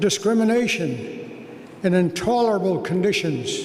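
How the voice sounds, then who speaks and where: A man's high voice at a very slow pace, with audible room echo and noticeable background noise. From Vancouver, Canada. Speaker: honorary degree recipient, businessman. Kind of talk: convocation acceptance speech. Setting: graduation ceremony with audience.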